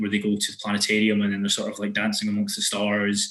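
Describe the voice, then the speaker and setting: A man's fairly low voice in a Scottish accent, with fairly even intonation. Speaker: podcast host. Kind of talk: casual podcast conversation.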